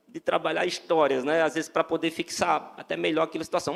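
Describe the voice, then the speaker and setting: The speaker has a northeastern Brazilian accent. The pace is fairly quick. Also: man. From Brazil, Northeast. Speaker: lay preacher. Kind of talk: sermon. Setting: church. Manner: halting, many repeated words.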